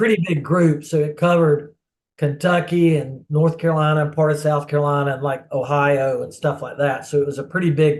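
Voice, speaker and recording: A man's somewhat breathy voice, fairly high in pitch, at a fairly quick pace with monotone, flat intonation. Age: 60s. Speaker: former goalkeeper, soccer player. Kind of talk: interview answer.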